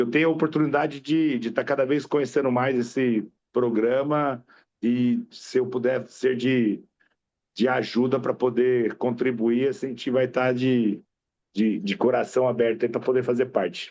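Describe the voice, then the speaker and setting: A man speaks in an ordinary speaking voice. The pace is moderate and the intonation fairly even. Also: medium pitch for a man. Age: 50s. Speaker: veterinarian. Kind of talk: self-introduction at club meeting.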